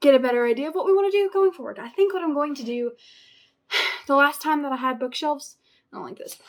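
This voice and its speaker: Very fast and high-pitched, a woman speaks with very wide pitch swings. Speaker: booktuber vlogger. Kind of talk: casual vlog talk to camera. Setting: at home. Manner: animated.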